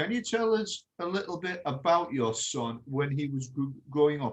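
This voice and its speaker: A somewhat breathy man's voice, fairly high in pitch, with an English accent. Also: lively intonation, moderate pace. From England. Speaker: podcast host. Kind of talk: interview.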